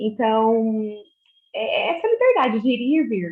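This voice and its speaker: The speaker is a woman with a fairly high pitch. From Minas Gerais, Brazil (Uberaba). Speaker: obstetric nurse. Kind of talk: casual group video chat. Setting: video call. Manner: hesitant, many fillers and repetitions.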